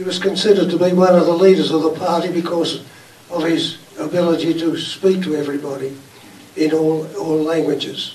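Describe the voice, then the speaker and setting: A man with an Australian accent speaks at a moderate pace, his pitch high and his intonation fairly even. Audible room echo and noticeable background noise are present. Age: 90s. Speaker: audience member, group founding member. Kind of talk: audience remarks. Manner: halting.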